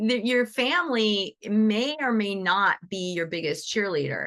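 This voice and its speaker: Against a quiet background, a woman with a medium pitch sounds animated, her bright, sharp tone carrying lively intonation. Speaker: animal reiki teacher, co-founder hosting session. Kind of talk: live webinar talk. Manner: fast.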